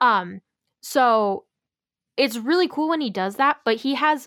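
Recorded with a dry, close sound and no echo, a woman speaks in a normal speaking voice with ordinary pitch variation. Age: 20s. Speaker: musician and podcast co-host. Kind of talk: casual chat. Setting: remote recording, separate locations.

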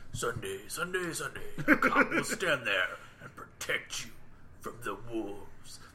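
Against clear background noise, a man uses a put-on character voice at a fairly slow pace. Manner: over-the-top, dramatic, mocking.

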